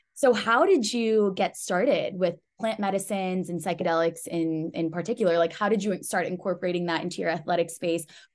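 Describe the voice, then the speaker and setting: A normal speaking voice from a woman, medium-pitched with an American accent, fairly quick, with ordinary pitch variation. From US, Pakistani heritage. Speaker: podcast host. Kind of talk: interview.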